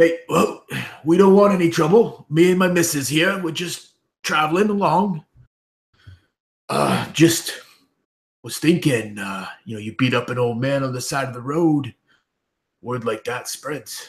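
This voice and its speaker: In a raspy, put-on character voice, a man speaks at a moderate pace and fairly high pitch, his intonation lively, his loudness swinging widely, and his speech broken by long, frequent pauses. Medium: actual play. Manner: sarcastic, jaunty.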